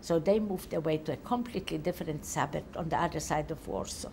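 With a Polish accent, a woman speaks at a fairly quick pace in a somewhat breathy voice. Her intonation is lively, and there is light background noise. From Poland. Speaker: Holocaust survivor giving testimony. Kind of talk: testimony. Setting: interview in Tel Aviv. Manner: halting. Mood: calm, reflective recollection. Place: home room. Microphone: lapel.

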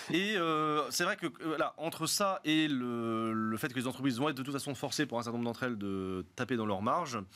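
A man's medium-pitched voice, bright and sharp in tone, with lively intonation, a fairly quick pace and hardly any pauses. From Lyon, France; France. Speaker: economics professor. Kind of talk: panel discussion. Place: studio. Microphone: studio mic.

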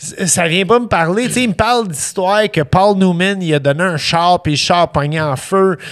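A man with a high voice talks at a moderate pace, barely pausing at all. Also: ordinary pitch variation. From Montreal (east end), Quebec. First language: English (speaking French). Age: 40s. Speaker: chef; podcast guest. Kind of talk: casual chat. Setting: studio. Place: studio. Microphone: studio mic.

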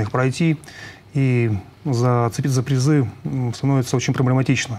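His intonation fairly even, a man is talking. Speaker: sports coach. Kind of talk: interview answer. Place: studio.

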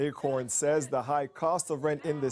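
A man with a Canadian accent, fairly high pitch and a normal speaking voice, at a moderate pace. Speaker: news reporter. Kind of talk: news reporting.

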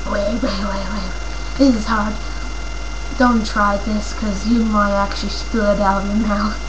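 A woman speaks at a fairly slow pace. Noticeable background noise runs through the recording. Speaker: vlogger. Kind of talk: casual vlog chat. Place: home room. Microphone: headset.

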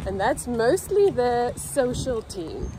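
Against noticeable background noise, a woman talks at a very slow pace in a dry sound with no echo. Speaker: vlogger. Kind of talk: casual vlog chat. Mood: cheerful. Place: street. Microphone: phone near.

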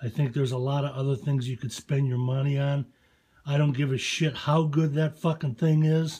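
Against a quiet background, a man speaks with fairly even intonation and a somewhat breathy voice. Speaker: gun owner reviewer. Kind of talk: casual product review rant. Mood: opinionated, profane, challenging. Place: home room. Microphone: phone near.

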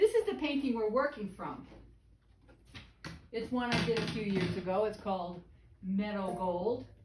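A woman speaks at a moderate pace with ordinary pitch variation. Noticeable background noise is present. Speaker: painting instructor. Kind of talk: tutorial. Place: studio. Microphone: camera far.

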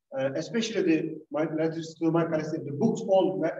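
Audible room echo surrounds a man who speaks at a moderate pace and a fairly high pitch. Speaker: imam and university lecturer. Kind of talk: lecture with Q&A. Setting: synagogue hall with audience.

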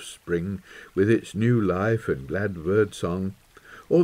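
The voice reads naturally. It is reading the text aloud.

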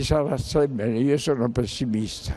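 Dark, mellow male voice at a fairly slow pace. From Sicily, Paternò; Sicily. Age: 80s+. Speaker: war veteran; witness. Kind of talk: testimony. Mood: grave, pessimistic. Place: hall. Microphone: handheld.

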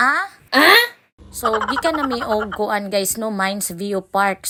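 A woman with a Philippine accent speaks in a bright, sharp tone at a medium pitch. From Visayas, Philippines. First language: Cebuano (speaking Tagalog). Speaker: vlogger. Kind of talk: travel vlog narration.

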